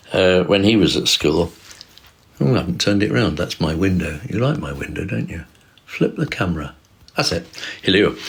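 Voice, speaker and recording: With noticeable background noise behind him, a man speaks in a very deep, low pitch at a moderate pace, taking long, frequent pauses. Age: 70s. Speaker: livestreamer. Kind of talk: casual livestream talk. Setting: livestream on camera. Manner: halting, loses track mid-sentence.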